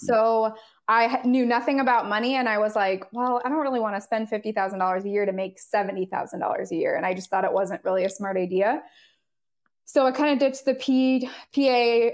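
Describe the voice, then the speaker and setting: Speaking at a fairly quick pace with a Californian accent, a woman uses a fairly high pitch and ordinary pitch variation. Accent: General American (Californian). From Southern California. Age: 30s. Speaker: nurse. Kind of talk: interview.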